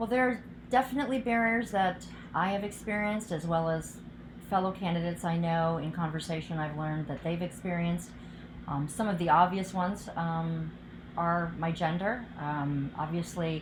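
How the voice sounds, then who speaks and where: Speaking at a moderate pace, a woman with a fairly low voice and ordinary pitch variation is heard against audible room echo. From US Midwest, outside Cleveland, Ohio. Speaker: political candidate, physician. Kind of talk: interview answers.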